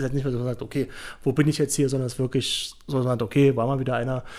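A man speaks in a normal speaking voice at a fairly quick pace, with a fairly high pitch. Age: 20s. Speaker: former American football player and pundit. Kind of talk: podcast interview.

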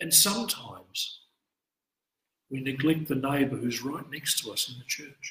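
Delivered at a moderate pace in an Australian accent, the speech has ordinary pitch variation. Long pauses come often. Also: man, fairly high pitch for a man. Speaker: priest. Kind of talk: scripture study talk. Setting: church, live-streamed.

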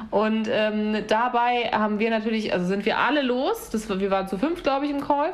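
Amid audible room echo, a woman with a fairly high pitch talks at a fairly slow pace with ordinary pitch variation. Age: 30s. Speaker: podcast host. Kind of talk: casual chat.

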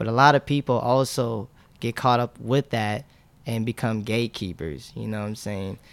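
Using an ordinary speaking voice, a man talks at a medium pitch and a moderate pace with ordinary pitch variation in a dry, close sound with no echo. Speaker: clothing brand founder and sneaker reseller. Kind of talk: casual interview chat.

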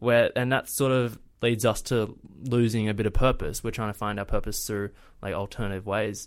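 On a very clean recording with a silent background, a man with an Australian accent talks at a moderate pace and medium pitch with fairly even intonation. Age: 20s. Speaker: travel vlogger. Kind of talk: casual chat.

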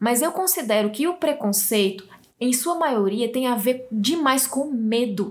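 With a northeastern Brazilian accent, a woman speaks at a high pitch and a fairly slow pace. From Brazil, Northeast. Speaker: podcast host. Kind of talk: reading aloud; casual chat.

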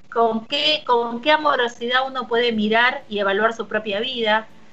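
Speaking in a Rioplatense accent, a woman keeps a moderate pace. Her pitch is high. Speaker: radio host. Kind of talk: casual chat. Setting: remote broadcast from home.

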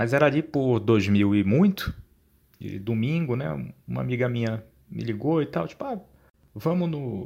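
Using lively intonation and long, frequent pauses, a man with a medium pitch and a dark, mellow tone speaks at a moderate pace. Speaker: podcast host. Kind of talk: storytelling. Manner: casual.

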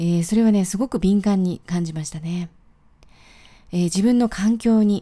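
A woman speaks at a medium pitch and a moderate pace. Her tone is dark, mellow and relaxed. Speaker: podcaster. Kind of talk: solo daily podcast monologue. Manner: relaxed, with frequent fillers.

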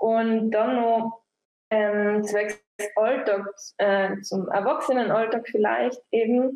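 A woman's fairly high voice, very slow and fairly even in intonation, with big swings in loudness. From Austria, East Tyrol. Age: 20s. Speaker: musician. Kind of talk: group discussion. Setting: video call.

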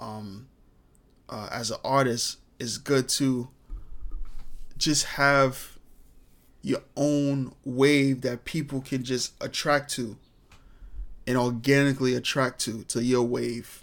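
A man at medium pitch with a very slow pace, long, frequent pauses and monotone, flat intonation, on a very clean recording with a silent background. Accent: New York. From New York, Brooklyn. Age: 20s. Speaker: podcast host. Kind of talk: casual monologue. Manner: filler-heavy, repetitive.

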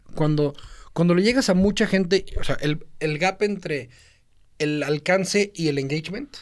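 A man talks at a fairly slow pace with a high pitch and ordinary pitch variation. His loudness stays very even throughout. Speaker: podcast co-host, social media marketer. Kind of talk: casual chat. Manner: mixes Spanish and English.

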